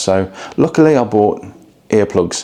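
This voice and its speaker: Quietly, a man with an English accent speaks over noticeable background noise. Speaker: travel vlogger. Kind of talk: hotel review vlog. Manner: quiet, low volume; hesitant, many fillers.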